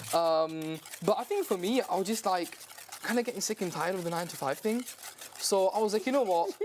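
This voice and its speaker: A man with a high pitch and ordinary pitch variation talks very fast as noticeable background noise carries on. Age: 20s. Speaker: young baker and dessert business owner. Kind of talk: casual TV cooking demonstration interview. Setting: TV studio kitchen. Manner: animated.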